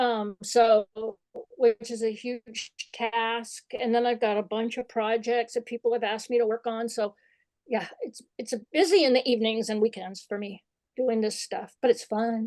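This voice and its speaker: A woman with an American accent and a normal speaking voice talks at a moderate pace, fairly high in pitch, in a dry, close sound with no echo. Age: 60s. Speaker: photographer and author. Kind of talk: interview.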